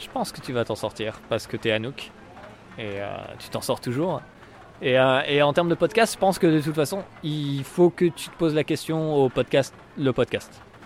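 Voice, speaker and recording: Over noticeable background noise, a man with a fairly high pitch talks with lively intonation and big swings in loudness. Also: moderate pace. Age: 20s. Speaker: comedian. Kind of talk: casual chat. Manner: hesitant, many fillers.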